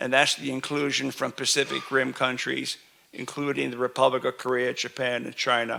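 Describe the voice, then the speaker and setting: Vocal fry and a bright, sharp tone mark this voice with a New York accent. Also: man. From New York City. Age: 70s. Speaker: standards committee chair. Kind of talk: keynote speech. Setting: conference stage with audience. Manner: slow, deliberate for translation; halting, many repetitions and fillers.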